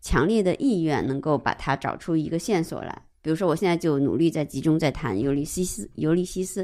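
Lively intonation and a dark, mellow tone carry this fairly quick delivery with hardly any pauses, on a very clean recording with a silent background. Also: woman, fairly low pitch for a woman. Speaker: art historian. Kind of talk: casual discussion of a book.

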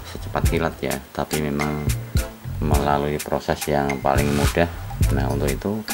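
A man at a fairly slow pace over loud music in the background. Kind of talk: tutorial. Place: workshop. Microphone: phone near.

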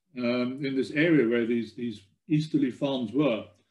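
The speaker talks with an Afrikaans accent at a fairly slow pace. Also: man. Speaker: genealogy researcher giving a talk; presenter. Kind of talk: presentation talk. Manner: halting, many fillers and repeats. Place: home room. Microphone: webcam.

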